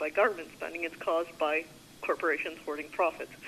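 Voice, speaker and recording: Over noticeable background noise, a woman with a Canadian accent talks fairly low in pitch at a fairly quick pace. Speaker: journalist. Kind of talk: press conference questions. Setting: phone call.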